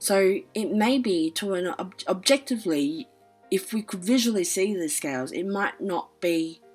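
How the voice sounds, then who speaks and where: A woman speaks at a medium pitch with lively intonation. Music plays in the background. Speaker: astrology commentator. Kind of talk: casual talk to camera.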